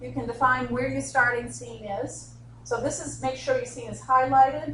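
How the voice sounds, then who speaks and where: A woman with a Boston accent at a moderate pace, with audible room echo. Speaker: instructional designer, software trainer. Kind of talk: software tutorial workshop.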